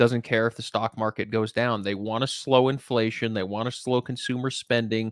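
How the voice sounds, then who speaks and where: Over a quiet background, a man speaks with fairly even intonation in a dry sound with no echo. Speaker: investment company host. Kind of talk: commentary. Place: home room. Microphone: studio mic.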